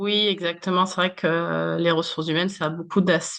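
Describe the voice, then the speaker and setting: Talking at a moderate pace, a woman keeps her pitch fairly low. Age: 30s. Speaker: human resources manager. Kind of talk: interview. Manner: many hesitations (euh).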